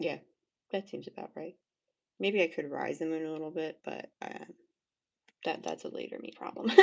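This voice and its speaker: A woman mumbles at a moderate pace. Her speech has long, frequent pauses. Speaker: art livestreamer. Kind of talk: casual chat while painting on livestream. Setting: livestream. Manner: mumbling to herself.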